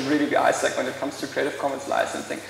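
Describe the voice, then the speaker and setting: Speaking very fast with a German accent, a man is heard with audible room echo and noticeable background noise. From Germany. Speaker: law lecturer and intellectual property expert. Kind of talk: conference talk. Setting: stage with audience. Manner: hesitant, many fillers.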